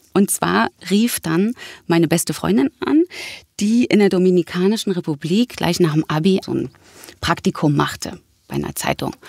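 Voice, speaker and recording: A woman with vocal fry speaks at medium pitch and a moderate pace, leaving long, frequent pauses. Her intonation is lively, and the sound is dry and close with no echo. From Berlin. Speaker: actress and voice actress. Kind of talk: casual interview.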